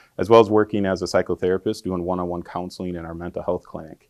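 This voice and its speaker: A man's very deep, low voice in a dry, close sound with no echo and a quiet background. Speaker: social work professor. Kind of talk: lecture. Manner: loud.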